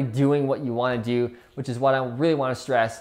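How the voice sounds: Speaking at a moderate pace, a man uses a slightly mellow tone at medium pitch with little pitch movement.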